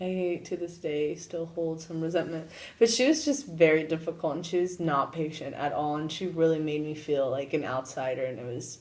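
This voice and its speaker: A woman's very deep, low voice at a moderate pace, with ordinary pitch variation and hardly any pauses. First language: Spanish. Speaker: university student. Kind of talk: interview.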